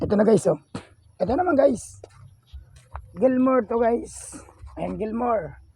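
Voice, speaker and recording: Here a man speaks at a high pitch and a fairly slow pace. He leaves long, frequent pauses. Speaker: vlogger, farmer and gamefowl breeder. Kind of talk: casual vlog tour. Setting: outdoors on a farm. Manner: loud, shouting at dogs.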